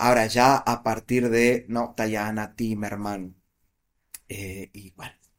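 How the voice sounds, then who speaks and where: The recording is very clean with a silent background as a man at medium pitch speaks with monotone, flat intonation and big swings in loudness. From Argentina, Buenos Aires province. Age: 40s. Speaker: political analyst and author. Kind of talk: interview conversation.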